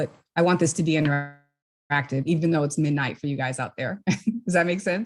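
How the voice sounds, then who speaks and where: Delivered at a fairly quick pace, this is a plain, everyday voice with fairly even intonation. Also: woman. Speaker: workshop mentor; entrepreneur. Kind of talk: online workshop.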